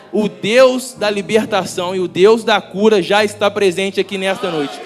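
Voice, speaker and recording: Music plays in the background as the speech moves at a moderate pace with fairly even intonation. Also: man, high pitch for a man. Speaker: preacher. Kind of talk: sermon. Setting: church. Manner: halting.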